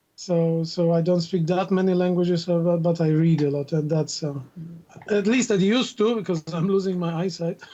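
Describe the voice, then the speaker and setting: This man has a high pitch and fairly even intonation, speaking at a moderate pace. Background noise is noticeable. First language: Russian. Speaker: university instructor and linguist. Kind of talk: casual chat.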